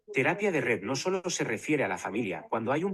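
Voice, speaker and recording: A man's fairly quick delivery with vocal fry and very wide pitch swings. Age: 80s+. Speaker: family therapist. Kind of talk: conference presentation.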